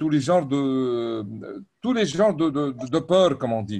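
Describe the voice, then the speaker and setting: With lively intonation and a dark, mellow tone, a man speaks at a fairly high pitch and a fairly slow pace. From Lebanon. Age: 60s. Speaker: webinar participant. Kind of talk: audience question. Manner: hesitant.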